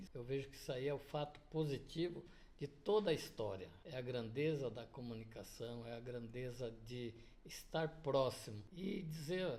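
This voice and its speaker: A man speaks fairly slowly at a fairly high pitch, somewhat breathy and with lively intonation. Audible room echo surrounds his voice. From Paraná, southern Brazil. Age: 70s. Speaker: business owner. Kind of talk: interview.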